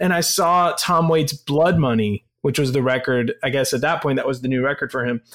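A man with an unremarkable speaking voice talks at a fairly high pitch, fairly quickly and with hardly any pauses. His pitch varies in an ordinary way, and the recording is very clean with a silent background. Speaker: rock band frontman. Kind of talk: casual chat.

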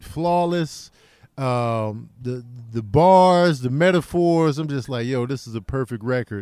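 Against a silent background on a very clean recording, a man with an American accent talks at a very slow pace, at medium pitch, in a dark, mellow tone. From Chicago. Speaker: comedian. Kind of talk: casual chat.

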